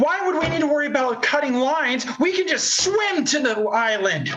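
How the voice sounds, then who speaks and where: A put-on character voice from a man at an extremely high pitch. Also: moderate pace. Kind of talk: Shakespearean stage acting. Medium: stage play.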